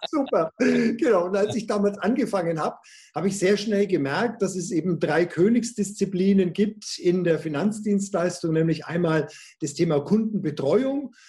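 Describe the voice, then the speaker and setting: At a moderate pace, a man speaks at a high pitch in a dark, mellow tone with ordinary pitch variation. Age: 50s. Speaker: sales coach and trainer. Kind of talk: interview. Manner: animated.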